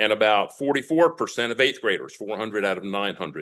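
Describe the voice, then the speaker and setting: A man's ordinary speaking voice, fairly quick, with lively intonation against a quiet background. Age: 60s. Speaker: retired school superintendent speaking at public comment. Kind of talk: public comment at school board meeting.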